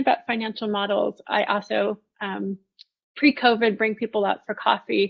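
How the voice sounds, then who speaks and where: A woman talks at a fairly quick pace with fairly even intonation. She has an ordinary speaking voice, fairly high in pitch. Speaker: product management presenter. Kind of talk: online conference presentation. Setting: virtual event livestream.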